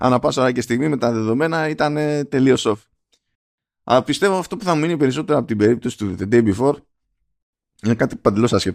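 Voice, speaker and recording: At a very fast pace broken by long, frequent pauses, a man speaks with lively intonation at a medium pitch. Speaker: gaming podcast co-host. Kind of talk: casual chat.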